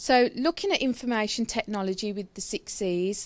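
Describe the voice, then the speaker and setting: A woman speaks with a Brummie accent and ordinary pitch variation. The recording is very clean, with a silent background. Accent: Brummie, trying to reduce it. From Birmingham, England. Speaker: nurse and healthcare IT speaker. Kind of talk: conference presentation. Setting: stage at an event with audience.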